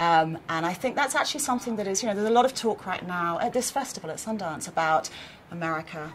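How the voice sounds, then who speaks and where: A woman's medium-pitched voice at a very fast pace, with ordinary pitch variation and noticeable background noise. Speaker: TV network executive. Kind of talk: interview. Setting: film festival.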